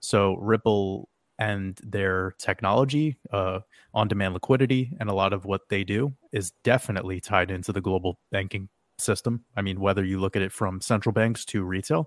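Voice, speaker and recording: Man with a fairly low pitch at a moderate pace, ordinary pitch variation, on a very clean recording with a silent background. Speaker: podcaster. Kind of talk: casual chat.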